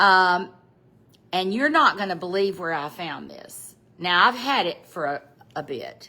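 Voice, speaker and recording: Speaking at a fairly slow pace with a Southern US accent, a woman uses lively intonation and medium pitch, with big swings in loudness and long, frequent pauses. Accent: Southern American. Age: 70s. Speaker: fashion vlogger. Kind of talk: casual chat. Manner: casual, halting.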